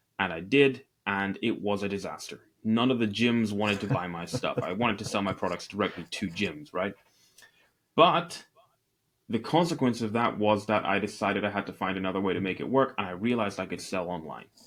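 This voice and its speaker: Speaking in a Scottish accent, a man keeps a fairly low pitch. He talks at a fairly quick pace with ordinary pitch variation. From Northeast Scotland. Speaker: e-commerce entrepreneur. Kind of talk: interview.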